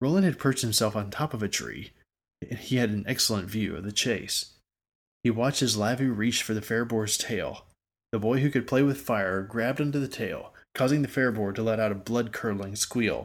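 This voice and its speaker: In a dramatic tone, a man speaks at a fairly quick pace with a medium pitch and ordinary pitch variation, recorded very cleanly over a silent background. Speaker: audiobook narrator. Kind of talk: literary audiobook reading of fantasy fiction, scripted narration. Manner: steady storyteller's pace, descriptive and even-toned; briefly dramatic and vivid in action and dialogue lines.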